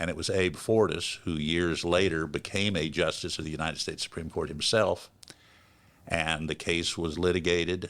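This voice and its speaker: The man's voice is very deep and low, with monotone, flat intonation at a moderate pace. The recording is very clean, with a silent background. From US South, Florida panhandle. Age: 70s. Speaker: public defender. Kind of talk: interview.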